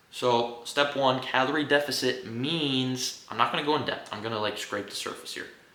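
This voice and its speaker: A man at medium pitch and moderate pace, hardly any pauses, big swings in loudness, audible room echo and noticeable background noise. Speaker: fitness YouTuber. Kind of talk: casual unscripted monologue. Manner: profane, animated; stumbling over words.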